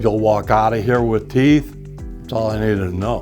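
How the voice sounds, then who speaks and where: Music plays behind a man whose medium-pitched voice shows ordinary pitch variation. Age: old. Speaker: dental implant patient. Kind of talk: interview answer.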